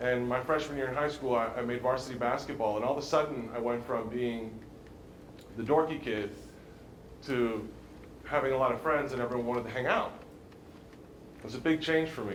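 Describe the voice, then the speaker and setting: A man with an American accent speaks at medium pitch and a fairly quick pace, with long, frequent pauses. Noticeable background noise and audible room echo surround him. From Maryland, US Mid-Atlantic. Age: 30s. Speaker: former pro football player, recovery speaker. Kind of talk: motivational talk to students. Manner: hesitant, many fillers and repeats.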